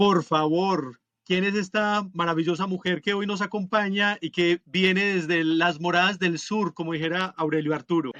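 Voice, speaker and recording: A man with a Colombian accent at a high pitch and moderate pace, hardly any pauses, fairly even intonation, and a dry, close sound with no echo. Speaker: podcast co-host. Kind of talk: casual podcast chat.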